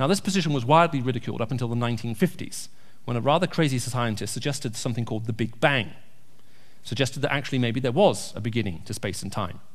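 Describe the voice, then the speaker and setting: Amid audible room echo, a man at a medium pitch talks at a very fast pace in a somewhat breathy voice. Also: lively intonation. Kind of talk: church talk with Q&A. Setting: church.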